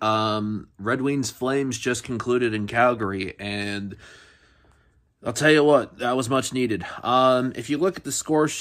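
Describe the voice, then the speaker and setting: Against a quiet background, a man speaks at a fairly slow pace with ordinary pitch variation. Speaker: sports podcast host. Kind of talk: casual sports recap commentary. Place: home room. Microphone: phone near.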